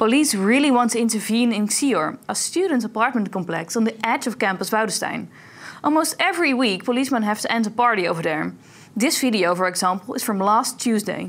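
Using a normal speaking voice, a woman with a fairly high pitch talks at a fairly quick pace with lively intonation. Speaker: student TV co-host. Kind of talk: news reading. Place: studio.

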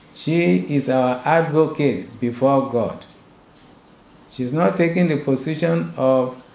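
A man talks at a fairly slow pace with ordinary pitch variation. Room echo is audible. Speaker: bishop. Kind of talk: sermon. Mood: earnest, exhorting. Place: office.

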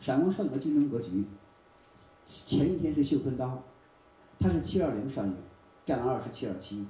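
A man's somewhat breathy voice with a dark, mellow tone, lively intonation and a fairly quick pace, plus audible room echo. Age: 40s. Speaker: film producer and marketer; presenter. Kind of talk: forum talk. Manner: repeats words when speaking. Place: hall.

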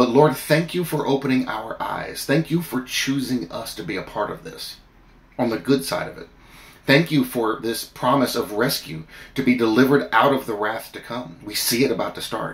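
The pace is moderate, with ordinary pitch variation and vocal fry. Loudness swings widely. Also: man, medium pitch for a man. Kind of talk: fervent prayer addressed to God. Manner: earnest, pleading, heartfelt; animated, storytelling with comic asides. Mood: earnest, fervent. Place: home room. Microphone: phone near.

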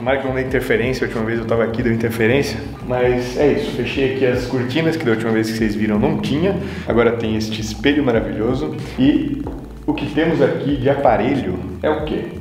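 Against light background noise and audible room echo, a man talks very fast with ordinary pitch variation. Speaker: fitness vlogger. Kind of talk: casual vlog chat, tour. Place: gym. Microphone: phone near.

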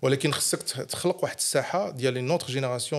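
A man with a medium pitch talks at a fairly quick pace over a quiet background. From Morocco, Goulmima (Errachidia) and Meknes; Morocco. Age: 50s. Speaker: entrepreneur; podcast guest. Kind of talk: interview. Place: studio. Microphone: studio mic.

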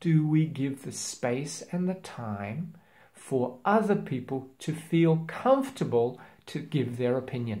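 A man's medium-pitched voice at a slow pace, with lively intonation and a slightly mellow tone

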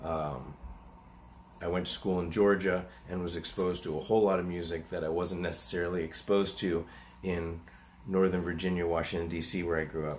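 Fairly even intonation with long, frequent pauses over light background noise. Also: man. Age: 40s. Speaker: animal rescuer and YouTuber. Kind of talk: casual Q&A monologue. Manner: hesitant, many fillers. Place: home room. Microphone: webcam.

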